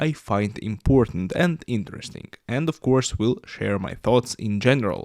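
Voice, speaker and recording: With a Russian accent and lively intonation, the speaker keeps a moderate pace in a very clean recording with a silent background and a dry, close sound with no echo. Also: man. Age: 20s. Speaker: YouTuber and podcaster. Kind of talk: podcast monologue. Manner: halting, many fillers.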